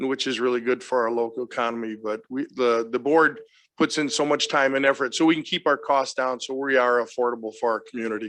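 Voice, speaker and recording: This is a plain, everyday voice with an American accent. The pace is fairly quick, the intonation fairly even and the background quiet. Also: man, medium pitch for a man. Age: 60s. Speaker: fair association representative. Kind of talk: public meeting presentation.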